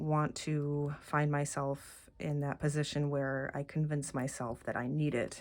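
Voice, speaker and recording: A soft-spoken woman with a very deep, low pitch. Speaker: tarot deck reviewer. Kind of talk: casual walkthrough video. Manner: halting, many fillers.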